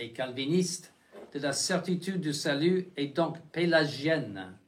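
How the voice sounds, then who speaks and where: Audible room echo surrounds a man with a fairly high pitch and ordinary pitch variation. He talks at a very slow pace. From United States. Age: 70s. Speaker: bishop. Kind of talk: lecture. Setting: chapel. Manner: halting, many restarts and fillers.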